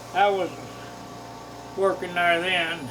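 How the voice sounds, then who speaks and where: Amid noticeable background noise and audible room echo, a man with an American accent speaks at a very slow pace. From US Midwest (southern Missouri Ozarks). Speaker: longtime resident, interviewee. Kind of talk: oral history interview. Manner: halting, with many fillers.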